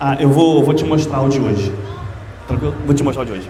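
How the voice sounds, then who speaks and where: A man with a fairly high pitch talks at a fairly quick pace. Noticeable background noise and audible room echo fill the recording. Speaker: history teacher. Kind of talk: lecture. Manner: fast; casual.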